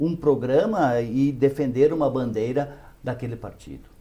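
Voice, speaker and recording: A man's voice with a dark, mellow tone. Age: 60s. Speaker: city councillor, former teacher. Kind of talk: interview. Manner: halting.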